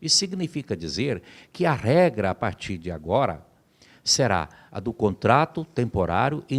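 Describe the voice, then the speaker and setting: Very wide pitch swings run through a very clean recording with a silent background. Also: man. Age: 60s. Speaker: labor lawyer. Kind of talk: interview. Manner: formal.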